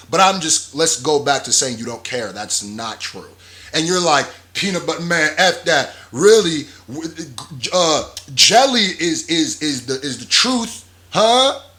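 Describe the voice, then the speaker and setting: A man speaks at a fairly slow pace with a fairly high pitch and very wide pitch swings. Noticeable background noise runs under his voice. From Nigeria. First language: not English. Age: 20s. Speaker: YouTube commentator. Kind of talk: casual reaction commentary. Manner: animated.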